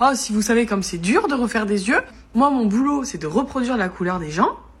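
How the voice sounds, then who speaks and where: Animated and lively in intonation, a woman talks at a fairly quick pace and a fairly high pitch. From southern France, Montpellier. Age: 20s. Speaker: ocularist and social media creator. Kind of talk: interview.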